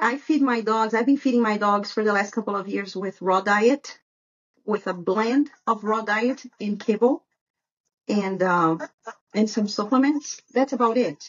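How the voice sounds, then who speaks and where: With a Brazilian Portuguese accent, a woman talks at a fairly slow pace in a fairly high, somewhat breathy voice with ordinary pitch variation. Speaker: dog breeder. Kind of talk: podcast interview.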